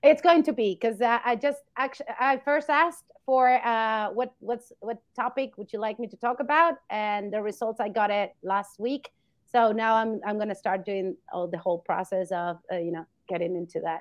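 This speaker has a Spanish accent and a lively intonation. The pace is moderate. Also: woman, fairly high pitch for a woman. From Argentina. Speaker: veterinarian. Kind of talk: interview.

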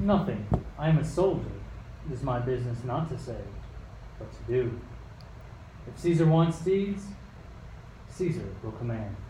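A man puts on a gruff character voice at medium pitch, speaking at a moderate pace with long, frequent pauses. There is clear background noise and a slight echo. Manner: gruff, curt, dismissive.

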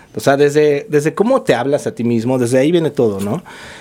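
A man with a Mexico City accent at a very fast pace. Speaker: yoga teacher, former lawyer. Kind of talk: casual chat.

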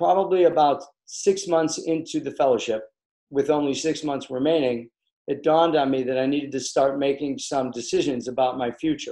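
With an American accent, a man talks in an unremarkable speaking voice, fairly high in pitch and with ordinary pitch variation. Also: fairly quick pace. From US Midwest, Chicago. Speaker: facial plastic surgeon. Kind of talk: interview.

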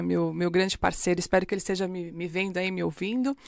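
This woman has a normal speaking voice, medium in pitch, with ordinary pitch variation. The recording is very clean, with a silent background. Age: 40s. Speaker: bank executive and tutor. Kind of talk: podcast interview.

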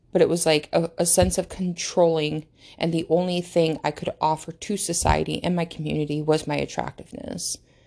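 The voice has vocal fry. The background is quiet. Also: woman, fairly low pitch for a woman, ordinary pitch variation, fairly quick pace. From United States. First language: not English. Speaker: podcast host. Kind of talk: casual monologue. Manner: halting.

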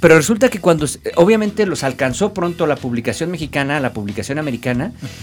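Racing at a very fast pace, a man speaks in a fairly high pitch with very wide pitch swings. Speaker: lawyer and comic collector. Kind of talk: casual chat.

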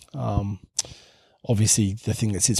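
The man's voice is somewhat breathy, with an Australian accent. It sounds dry and close with no echo, on a very clean recording with a silent background. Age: 40s. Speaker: pastor. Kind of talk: casual chat.

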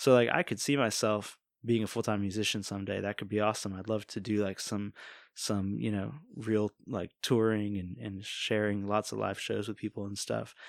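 On a very clean recording with a silent background, a man with an American accent and an ordinary speaking voice talks at a moderate pace, fairly low in pitch with fairly even intonation. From Virginia Beach, Virginia, US. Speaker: worship leader and singer-songwriter. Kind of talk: casual interview. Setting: studio.

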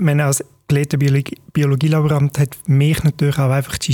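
Speaking with a Swiss German accent, a man has a fairly high, somewhat breathy voice with a dark, mellow tone, the sound dry and close with no echo. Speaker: podcast host. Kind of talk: interview.

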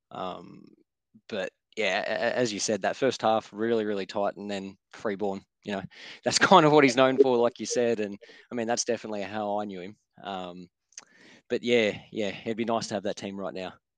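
A man with an Australian accent speaks at a fairly low pitch with fairly even intonation. The sound is dry and close with no echo, over a quiet background. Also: moderate pace. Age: 30s. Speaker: football fan podcast guest. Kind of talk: casual chat.

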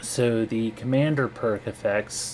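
Noticeable background noise sits behind a man with an American accent. He talks at a fairly slow pace with a medium pitch and ordinary pitch variation. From US. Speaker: podcast co-host. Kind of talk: informational lore segment.

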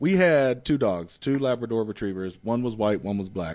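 A man with an American accent talks at a fairly quick pace with lively intonation in an ordinary speaking voice. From North/South Carolina border. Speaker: comedian. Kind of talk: casual chat.

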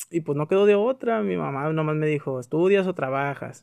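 An unremarkable speaking voice from a man, moderate in pace, with ordinary pitch variation. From Mexico, Tijuana. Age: 20s. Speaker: podcaster. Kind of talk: personal monologue. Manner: casual, conversational.

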